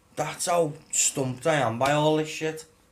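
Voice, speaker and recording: Noticeable background noise sits under this recording. A man talks at a fairly high pitch. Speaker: gaming YouTuber. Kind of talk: casual rant to camera. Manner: halting, stumbling over words.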